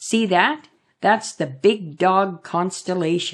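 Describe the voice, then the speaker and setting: A put-on character voice sounds female, pitched in the middle. It moves at a very slow pace. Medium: read story. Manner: warm, gentle.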